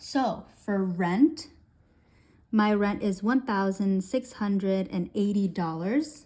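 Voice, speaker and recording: In a very clean recording with a silent background, a woman with a medium pitch and a dark, mellow, somewhat breathy tone speaks very slowly with lively intonation. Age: 20s. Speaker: budgeting YouTuber. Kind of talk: casual tutorial.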